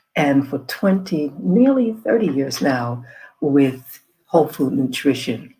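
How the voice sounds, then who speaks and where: Soft-spoken, a woman talks at a very deep, low pitch with a dark, mellow tone. Her intonation is lively. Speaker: health and wellness educator. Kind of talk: informational presentation. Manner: soft-spoken, keeping voice low.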